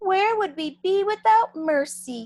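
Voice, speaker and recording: A woman's squeaky, put-on character voice, extremely high in pitch, at a fairly slow pace. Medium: read story. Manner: formal, grand.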